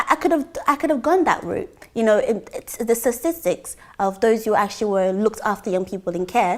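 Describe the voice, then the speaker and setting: The speaker uses a plain, everyday voice at a moderate pace. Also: woman. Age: 20s. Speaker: church member giving testimony. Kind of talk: testimony.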